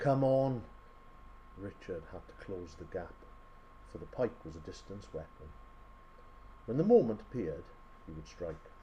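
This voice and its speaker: A man talks with big swings in loudness and long, frequent pauses against noticeable background noise. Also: moderate pace. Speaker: storyteller. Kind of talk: short story reading.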